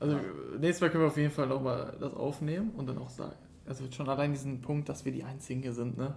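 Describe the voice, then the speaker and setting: Talking at a very fast pace, a man holds a fairly high pitch with fairly even intonation. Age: 20s. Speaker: podcast co-host. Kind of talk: casual chat.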